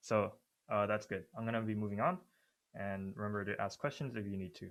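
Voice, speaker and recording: A man with an ordinary speaking voice, fairly low in pitch, at a fairly quick pace with ordinary pitch variation, in a very clean recording against a silent background. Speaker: student workshop leader. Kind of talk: lecture.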